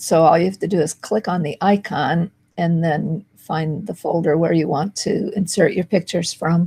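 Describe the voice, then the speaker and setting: A woman speaks with a fairly low pitch, a dark, mellow tone, a somewhat breathy quality and fairly even intonation. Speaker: marketing video host. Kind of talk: tutorial.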